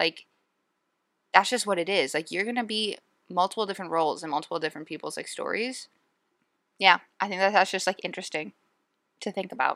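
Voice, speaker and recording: In a bright, sharp tone, a woman speaks at a very fast pace broken by long, frequent pauses, on a very clean, dry, close recording with no echo and a silent background. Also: medium pitch for a woman, ordinary pitch variation. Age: 20s. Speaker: podcast host on eating disorder recovery. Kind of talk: casual monologue. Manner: conversational, filler-heavy.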